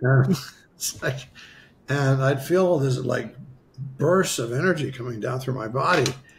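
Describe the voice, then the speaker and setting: With an American accent, a man speaks fairly slowly at a medium pitch with ordinary pitch variation and long, frequent pauses, against noticeable background noise. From US Midwest, western South Dakota. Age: 70s. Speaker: spiritual healer. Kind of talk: interview storytelling.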